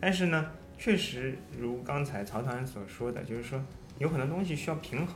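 A man speaks at a moderate pace with lively intonation and a somewhat breathy quality. Audible echo from the room surrounds his voice. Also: medium pitch for a man. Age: 30s. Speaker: amateur runner, running mentor. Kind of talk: casual chat.

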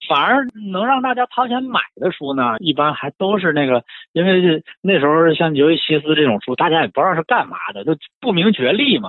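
Speaking fairly quickly, a man uses a high voice with very wide pitch swings. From Shenyang, northeast China. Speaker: book collector and writer. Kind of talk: casual chat about books.

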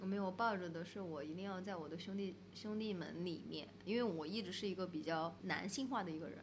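Somewhat breathy and medium in pitch, a woman talks at a fairly quick pace with hardly any pauses and ordinary pitch variation. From Sichuan, Pixian near Chengdu. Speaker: bridge designer and photographer, gallery co-owner. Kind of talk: casual chat. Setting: in the guest's gallery space.

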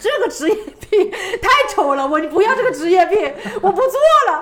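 Over noticeable background noise, a woman speaks at an extremely high pitch with very wide pitch swings. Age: 20s. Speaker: travel video blogger. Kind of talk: casual chat.

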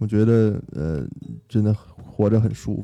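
With music playing in the background, a man speaks at a fairly low pitch. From Beijing. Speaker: returning guest. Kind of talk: casual chat. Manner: hesitant, with fillers.

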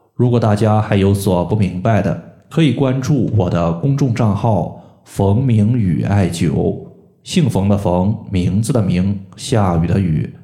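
Over noticeable background noise and audible room echo, a man speaks very slowly in a fairly low voice with ordinary pitch variation. He leaves hardly any pauses. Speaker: podcast host, moxibustion practitioner. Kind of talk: health tutorial. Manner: explanatory, frequent filler particles.

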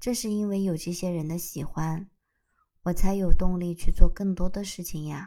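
On a very clean recording with a silent background, a woman with a dark, mellow tone and fairly low pitch speaks at a moderate pace, her intonation fairly even and her loudness swinging widely. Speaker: solo podcaster. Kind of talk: casual unscripted monologue.

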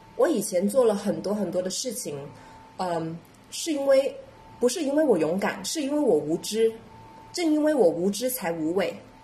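Amid noticeable background noise, a woman with a Cantonese accent speaks at a moderate pace, pausing long and often as her pitch swings very widely. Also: medium pitch for a woman. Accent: Cantonese-accented Mandarin. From Guangdong, southern China. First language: Cantonese (speaking Chinese). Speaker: podcast co-host, entrepreneur. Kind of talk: casual chat.

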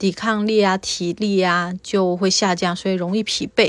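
A woman's normal speaking voice at a moderate pace with fairly even intonation, in a very clean recording with a silent background. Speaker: interviewee sharing infection experience. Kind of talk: personal testimony.

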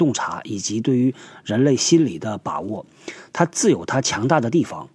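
A man's dark, mellow tone at medium pitch, moderate pace and very wide pitch swings. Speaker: podcast host on workplace topics. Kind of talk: casual monologue talk show.

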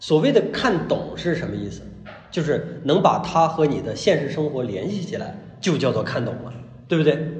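Audible room echo and noticeable background noise surround the recording. A man speaks at a moderate pace and a fairly high pitch. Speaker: art lecturer. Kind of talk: lecture. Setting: live lecture with audience. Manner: conversational, frequent rhetorical questions.

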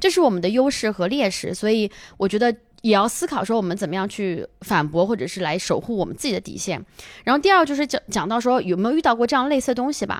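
A woman's fairly high voice at a very fast pace with very wide pitch swings, on a very clean recording with a silent background. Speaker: stand-up comedian. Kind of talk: casual chat. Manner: natural, not announcer-style.

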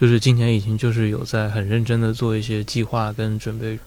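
At a fairly quick pace, a man with medium pitch speaks in a plain, everyday voice. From northern China (Taiyuan, Shanxi). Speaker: audio editor. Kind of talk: casual chat.

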